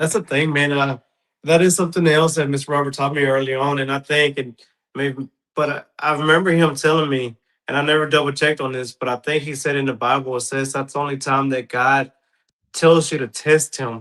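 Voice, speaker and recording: Fairly quick in pace, this is an ordinary speaking voice with fairly even intonation. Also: man, fairly high pitch for a man. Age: 30s. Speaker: podcast host. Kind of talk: casual chat.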